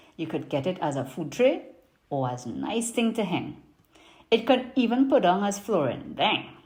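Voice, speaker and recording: In a Trinidadian accent, a woman talks at a fairly slow pace with very wide pitch swings. Her tone is dark and mellow, and somewhat breathy. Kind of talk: poetry reading.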